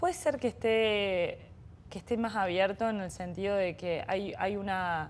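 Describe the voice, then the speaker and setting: This woman speaks with a Córdoba accent at a fairly slow pace. Her pitch sits in the medium range. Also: ordinary pitch variation. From Argentina, Córdoba. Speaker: bioeconomy startup executive. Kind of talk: interview conversation. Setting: innovation center. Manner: hesitant, many repetitions.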